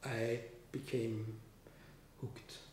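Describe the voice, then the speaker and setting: A man is speaking. Room echo is audible around his voice. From Austria. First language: German. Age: 50s. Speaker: composer. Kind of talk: interview. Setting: studio. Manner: halting. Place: home room. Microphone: camera far.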